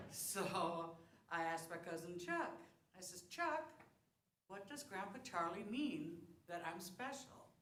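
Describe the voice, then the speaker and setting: A woman's medium-pitched voice, very slow, with lively intonation, long, frequent pauses, and audible room echo. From South Dakota. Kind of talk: talk to congregation. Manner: casual, conversational.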